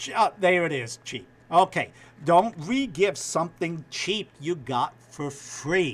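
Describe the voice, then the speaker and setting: A man with a New York accent speaks at a very slow pace and a high pitch. His intonation is lively, with big swings in loudness. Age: old. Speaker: TV news anchor. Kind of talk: casual chat.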